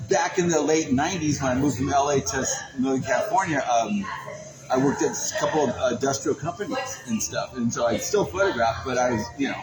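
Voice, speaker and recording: A man speaks very fast with lively intonation and a fairly high pitch. Music plays in the background. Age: 60s. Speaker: photographer and podcast host. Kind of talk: casual chat. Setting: in person at a venue.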